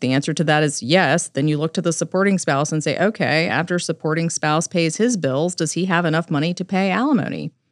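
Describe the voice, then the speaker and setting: A plain, everyday voice from a woman, fairly low in pitch and fairly quick, with ordinary pitch variation and hardly any pauses. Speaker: family law attorney and podcast host. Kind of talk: podcast discussion.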